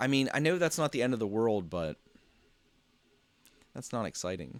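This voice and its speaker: Speaking with an American accent, a man moves at a fairly quick pace. The sound is dry and close with no echo, on a very clean recording with a silent background. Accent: local Pennsylvania accent, noticed by others. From Pennsylvania. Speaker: 3D printing live streamer. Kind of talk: casual live stream chat. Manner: halting, many fillers and repeats.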